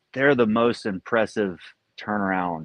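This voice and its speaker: This man speaks with an American accent at a fairly slow pace, his pitch fairly low and his pitch variation ordinary. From US South, rural southeastern North Carolina. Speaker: pro athlete. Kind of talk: casual interview chat.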